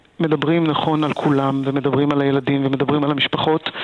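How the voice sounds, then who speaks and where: A man's fairly high-pitched voice in a flat monotone, with noticeable background noise. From Israel, Gaza border area. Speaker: assisted living director. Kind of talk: radio interview. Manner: halting, many fillers.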